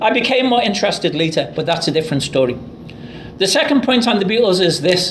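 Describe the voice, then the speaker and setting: A man talks at a very fast pace and high pitch, with very wide pitch swings and very even loudness. Noticeable background noise and audible room echo are present. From Liverpool, England. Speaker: professor. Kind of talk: lecture.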